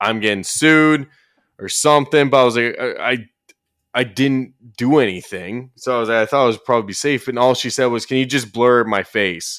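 With an unremarkable speaking voice, a man talks at a moderate pace and medium pitch, using ordinary pitch variation. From Ontario, Canada. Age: 20s. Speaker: YouTube commentator. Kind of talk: casual chat.

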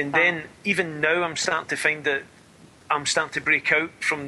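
A man with a Scottish accent speaks fairly quickly in a fairly high pitch, his intonation monotone and flat. Noticeable background noise runs underneath. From Scotland. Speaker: spiritualist medium. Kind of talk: interview.

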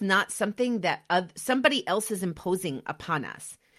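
Speech unfolds at a moderate pace. The background is silent on this very clean recording. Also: woman. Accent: American. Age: 40s. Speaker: podcast host. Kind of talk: motivational monologue.

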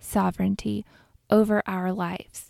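A woman's soothing, calm voice with a dark, mellow tone at a fairly slow pace, on a very clean recording with a silent background. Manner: slow, soft, soothing and calm, with long pauses between gentle instructions.

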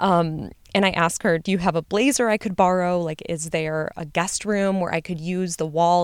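Hardly pausing, a woman with an American accent talks at a moderate pace and fairly low pitch on a very clean recording with a silent background. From US Midwest. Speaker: podcast host, medical graduate. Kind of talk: personal storytelling monologue. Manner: casual, filler-heavy.

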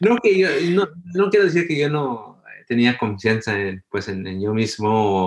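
Against a quiet background, a man talks at a fairly slow pace in a medium pitch with very wide pitch swings. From Los Angeles, US, Guatemalan parents. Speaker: ophthalmologist. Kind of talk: interview. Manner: halting.

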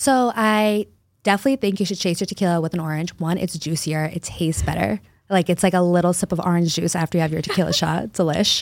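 A woman with an American accent at a very fast pace, fairly low in pitch with ordinary pitch variation, in a very clean recording against a silent background. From Boston area, Massachusetts. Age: 20s. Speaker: mobile bartending business owner. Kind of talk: casual interview chat.

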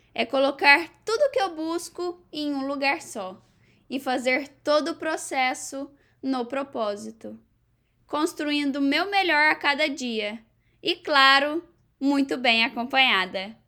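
A woman's high, raised, projected voice with a bright, sharp tone, lively intonation and a very slow pace, in a very clean recording with a silent background. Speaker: podcast host, university student. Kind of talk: casual interview chat; scripted intro and outro.

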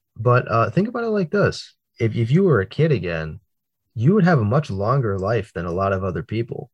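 Against a quiet background, a somewhat breathy man speaks fairly quickly, his pitch swinging very widely. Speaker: podcast co-host. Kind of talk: casual chat.

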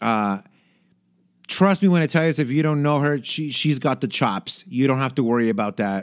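A man with an ordinary speaking voice, lively intonation and a fairly quick pace, on a very clean recording with a silent background. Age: 30s. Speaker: podcast host. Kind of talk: casual solo chat. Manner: casual, many fillers and restarts.

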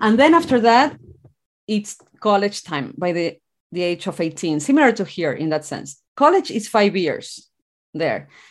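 A woman speaks at a moderate pace in an Argentine accent, her pitch in the medium range. Her pitch swings very widely over a quiet background. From Argentina, rural town. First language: Spanish. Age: 40s. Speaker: author and mindset coach. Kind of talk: interview.

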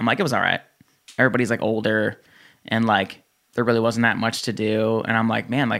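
A man with an American accent talks at a very fast pace in a medium pitch, his tone bright and sharp. His intonation is monotone and flat, and the recording is very clean with a silent background. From New Jersey. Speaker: gym owner and fitness entrepreneur. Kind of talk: casual chat.

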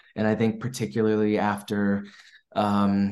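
In an American accent, a man speaks with a fairly low pitch in a room with audible echo. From US East Coast, Maryland. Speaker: filmmaker. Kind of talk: interview.

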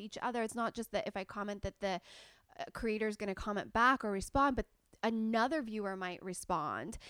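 A woman with a Californian accent, fairly high pitch and ordinary pitch variation, at a very fast pace, dry and close with no echo. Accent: General American (California). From Southern California. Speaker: beauty YouTuber. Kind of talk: casual chat.

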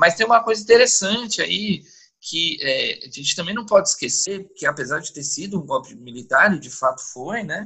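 Speaking at a moderate pace, a man with a high pitch makes very wide pitch swings and big swings in loudness. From São Paulo. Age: 40s. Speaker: podcast guest. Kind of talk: casual chat. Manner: talkative.

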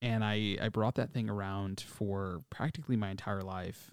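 With a Chicago accent, a man speaks at a fairly low pitch and a fairly quick pace. The recording is very clean with a silent background. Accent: Chicago-area American. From US Midwest, Chicago south suburbs. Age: 20s. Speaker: podcast host. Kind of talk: solo podcast monologue. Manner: animated.

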